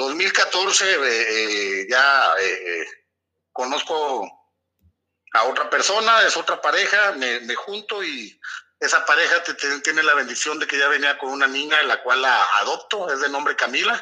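At a fairly slow pace, a man talks in an ordinary speaking voice with a fairly high pitch. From Torreón, Coahuila, northern Mexico. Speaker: businessman in the hydrocarbons sector. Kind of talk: casual interview.

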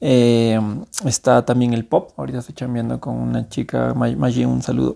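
With a dark, mellow tone at medium pitch, a man is heard on a very clean recording with a silent background. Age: 30s. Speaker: music producer. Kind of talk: casual chat.

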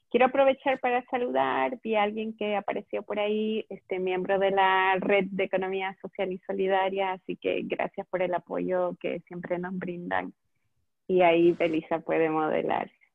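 A woman has an ordinary speaking voice at medium pitch. Her pace is moderate and her pitch variation ordinary. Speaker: eco-store owner and event organizer. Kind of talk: casual chat. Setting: Facebook Live video call.

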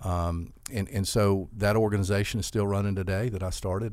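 With a very deep, low pitch, a man speaks at a fairly quick pace and with fairly even intonation. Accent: Southern US. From US South, Albany, Georgia. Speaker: school CEO. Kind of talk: interview.

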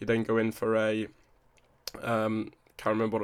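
On a very clean recording with a silent background, a man with an English accent speaks at a medium pitch in a flat monotone. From England (moved around; born Newcastle, raised partly Buckinghamshire). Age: 20s. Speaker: fitness coach. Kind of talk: solo podcast monologue. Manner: casual, chatty.

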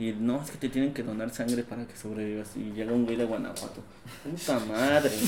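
A man with a Mexican accent talks fairly quickly at medium pitch, his loudness swinging widely. Noticeable background noise and audible room echo surround him. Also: fairly even intonation. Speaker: podcast co-host. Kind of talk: casual chat.

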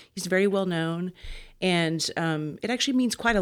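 In a very clean recording with a silent background, a woman with an American accent and a plain, everyday voice speaks at a moderate pace, with medium pitch and ordinary pitch variation. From Wichita Falls, Texas. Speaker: opera singer and voice teacher. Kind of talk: interview.

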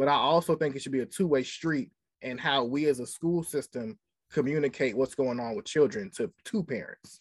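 With an ordinary speaking voice, a man at fairly high pitch talks at a moderate pace with ordinary pitch variation, in a very clean recording with a silent background that sounds dry and close, with no echo. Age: young. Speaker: special education teacher. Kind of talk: casual interview.

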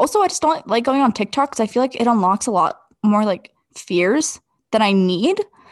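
A woman's plain, everyday voice, fairly high in pitch, with lively intonation at a moderate pace, dry and close with no echo over a quiet background. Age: 20s. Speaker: podcast co-host. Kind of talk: casual chat.

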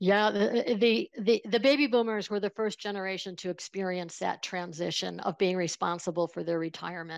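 This woman has a Buffalo accent and ordinary pitch variation, with hardly any pauses. The recording is very clean with a silent background, and the sound is dry and close with no echo. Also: medium pitch for a woman, fairly quick pace. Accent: Western New York (Buffalo) American. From Buffalo, New York. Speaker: financial planner and money coach. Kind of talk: casual interview conversation.

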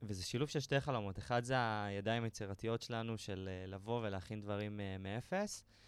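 This man has an unremarkable speaking voice, fairly low in pitch, with fairly even intonation. He keeps a moderate pace with hardly any pauses, on a very clean recording with a silent background. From Israel, Galilee. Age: 20s. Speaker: web developer, digital nomad. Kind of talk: casual interview. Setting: studio.

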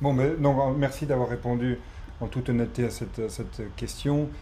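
A man speaks at a moderate pace and medium pitch, his intonation monotone and flat. Long, frequent pauses break up his speech, and room echo is audible. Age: 40s. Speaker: podcast host. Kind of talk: interview conversation.

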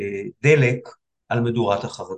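The voice is somewhat breathy, moving at a fairly slow pace with ordinary pitch variation. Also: man. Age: 60s. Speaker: psychiatrist. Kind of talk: casual chat. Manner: halting.

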